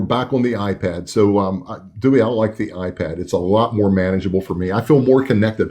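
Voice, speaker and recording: The man's speech moves at a moderate pace. He has an American accent. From West Virginia. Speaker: livestream host, former sheriff. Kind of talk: live stream chat.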